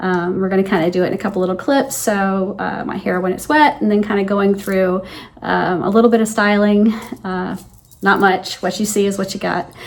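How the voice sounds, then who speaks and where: The speaker uses a plain, everyday voice with fairly even intonation. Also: woman, medium pitch for a woman, moderate pace. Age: 60s. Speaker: lifestyle vlogger. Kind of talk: casual talk to camera.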